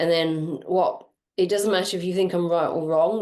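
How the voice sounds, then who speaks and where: A woman speaks in a fairly low pitch. Her intonation stays monotone and flat. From Ireland. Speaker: energy healer and coach. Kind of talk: energy reading session.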